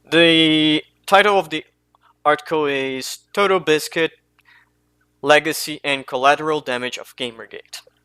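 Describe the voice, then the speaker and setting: Long, frequent pauses break up a man's fairly high voice, which has a non-native accent, a bright, sharp tone and fairly even intonation. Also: moderate pace, big swings in loudness. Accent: non-native English, mispronounces names. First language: not English. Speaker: commentary youtuber. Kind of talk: unscripted commentary monologue. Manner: halting, self-correcting.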